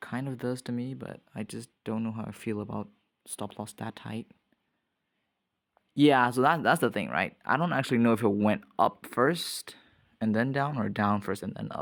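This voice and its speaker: A man talks in a plain, everyday voice at a medium pitch and moderate pace. His pitch variation is ordinary, and the recording is very clean with a silent background. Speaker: trading vlogger. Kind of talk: casual screen-recorded trading commentary. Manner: casual, thinking aloud.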